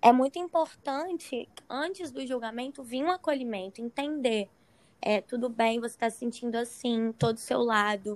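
A high-pitched woman's voice at a moderate pace, with ordinary pitch variation and big swings in loudness, in a very clean recording with a silent background and a dry, close sound free of echo. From Espírito Santo. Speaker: psychologist. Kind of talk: casual chat.

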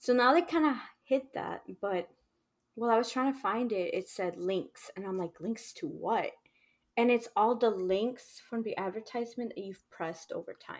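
A woman with an ordinary speaking voice talks at a moderate pace with a fairly high pitch. Her intonation is lively and her loudness swings widely. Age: 20s. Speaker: podcast co-host, business student. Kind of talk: casual chat.

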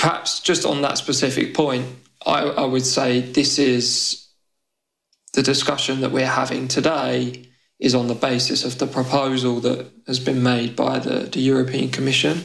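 A man speaks with a British accent at a medium pitch and a moderate pace. His intonation is monotone and flat, with vocal fry. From UK. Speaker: tech policy consultant. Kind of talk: interview.

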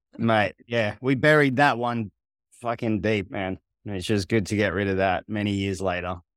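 On a very clean recording with a silent background and a dry, close sound with no echo, a man has an ordinary speaking voice, fairly low pitch, ordinary pitch variation and a moderate pace. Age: 40s. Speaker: therapist. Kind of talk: casual chat.

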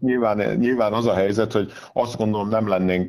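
Monotone, flat intonation from a man at a moderate pace, on a very clean recording with a silent background. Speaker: football club sporting director. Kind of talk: interview. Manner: halting, many filler repetitions.

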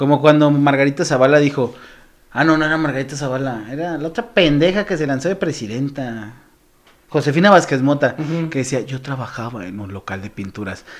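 Lively intonation and big swings in loudness mark this man's voice. He has a fairly high pitch and a fairly quick pace. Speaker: comedian. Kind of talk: casual chat. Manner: animated.

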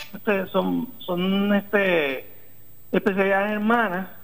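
A man with a Puerto Rican accent speaks at a high pitch with ordinary pitch variation. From Puerto Rico, Arecibo. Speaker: neurosurgeon. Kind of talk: interview. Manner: halting, many fillers.

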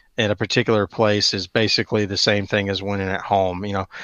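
Speaking with a Southern US accent, a man talks at a moderate pace in a fairly low, monotone voice with flat intonation. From US South, Metro Atlanta, Georgia. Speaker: podcast co-host. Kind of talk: casual chat.

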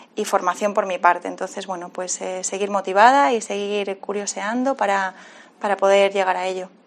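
A woman talks at a medium tempo, her intonation fairly level throughout. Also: medium pitch for a woman. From Canary Islands, Tenerife (La Laguna). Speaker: psychiatry resident. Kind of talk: interview. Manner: halting, repeats words.

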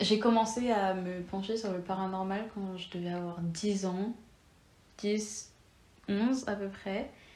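With audible room echo, a woman speaks very slowly at a medium pitch, fairly even in intonation, with long, frequent pauses. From France (Lyon). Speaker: podcast guest. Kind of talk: casual chat.

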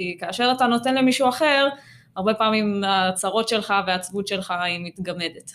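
A woman uses a normal speaking voice at a medium pitch, with ordinary pitch variation and a moderate pace. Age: 20s. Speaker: children's book author. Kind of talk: interview. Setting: studio.

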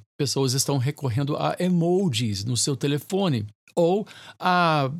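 Very slowly, a man with a slight non-native accent speaks with very wide pitch swings in a very clean recording with a silent background. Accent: slight foreign accent in Portuguese. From North America (Canadian-American family), raised in Brazil. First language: English (speaking Portuguese). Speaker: bishop and podcast host. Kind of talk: solo podcast commentary. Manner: hesitant, with fillers and repetitions.

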